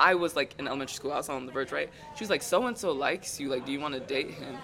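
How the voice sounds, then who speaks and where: A man with an American accent talks at a very fast pace. Crowd noise fills the background. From Texas, Ghanaian family. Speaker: guest, college student. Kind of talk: casual chat.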